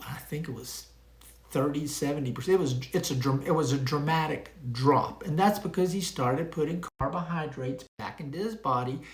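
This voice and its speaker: Room echo is audible as a man speaks with a fairly high pitch. His voice is somewhat breathy, with ordinary pitch variation. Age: 70s. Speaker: retired pharmacist, health vlogger. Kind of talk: casual monologue to camera. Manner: conversational, with frequent fillers.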